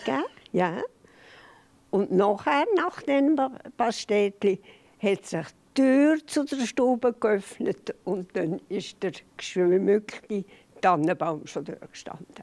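The speaker moves at a very slow pace, with long, frequent pauses and very wide pitch swings. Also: woman. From Switzerland. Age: 80s+. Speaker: interview guest, grandmother. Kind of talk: interview answer, reminiscing. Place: studio. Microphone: handheld.

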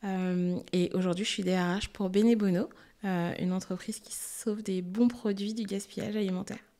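A woman at medium pitch and moderate pace, dark, mellow tone, monotone, flat intonation, quiet background. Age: 30s. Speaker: HR director; guest. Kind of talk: casual interview. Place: studio. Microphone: studio mic.

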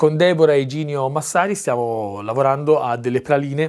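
A man is speaking. His pace is moderate. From Tuscany, Prato; Tuscany. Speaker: actor and director; actor. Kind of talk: casual interview chat. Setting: at his country house by a fireplace. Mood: warm, enthusiastic. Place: home room. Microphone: lapel.

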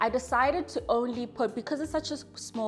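Faint music sits in the background as a woman speaks. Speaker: home renovation vlogger. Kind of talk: casual vlog chat. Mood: warm, pleased. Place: home room.

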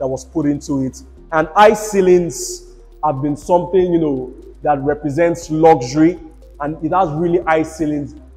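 Faint music plays behind a man who speaks at a moderate pace with fairly even intonation. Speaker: real estate tour host. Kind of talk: property tour commentary. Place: home room. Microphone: lapel.

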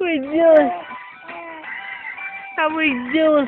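A woman's high-pitched, very slow voice with ordinary pitch variation, dry with no echo, over clear background music. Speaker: aunt filming niece. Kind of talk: playful talk to a baby. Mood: playful, teasing. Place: home room. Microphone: phone near.

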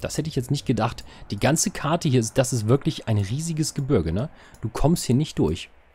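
A man with a medium pitch speaks at a moderate pace, his slightly mellow tone carrying a slightly husky edge and lively intonation.

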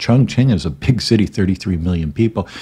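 At a fairly quick pace, a man talks in a fairly low, somewhat breathy voice with lively intonation. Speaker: grieving husband vlogger. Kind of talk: casual vlog chat, personal story. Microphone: studio mic.

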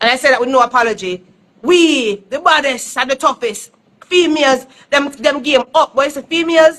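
A woman with a Jamaican accent speaks at a moderate pace in a high, bright and sharp voice. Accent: Jamaican Patois-inflected English. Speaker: dancehall artist. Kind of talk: casual chat. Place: home room. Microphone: phone near.

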